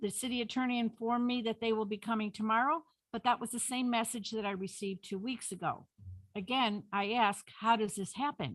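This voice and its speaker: A woman with a fairly high pitch and a somewhat breathy voice talks at a fairly quick pace. Her intonation is fairly even, and the recording is very clean with a silent background. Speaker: public commenter. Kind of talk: public comment at council meeting. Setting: city council meeting. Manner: fast.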